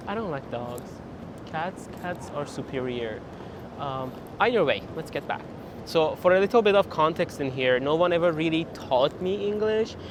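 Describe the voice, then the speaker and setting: Noticeable background noise sits under a man's fairly high voice. His intonation is lively and his pace moderate. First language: Persian. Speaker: PhD student vlogger. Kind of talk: casual vlog.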